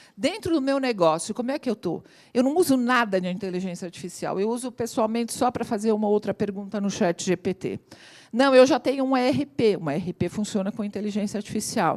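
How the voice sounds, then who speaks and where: An unremarkable speaking voice with lively intonation at a fairly quick pace, dry and close with no echo, on a very clean recording over a silent background. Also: woman. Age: 60s. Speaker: AI consultant and lecturer. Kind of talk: talk to audience.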